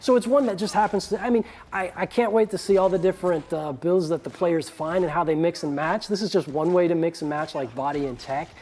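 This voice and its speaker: A very fast pace with ordinary pitch variation. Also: man. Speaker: game developer. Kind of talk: casual chat. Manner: animated.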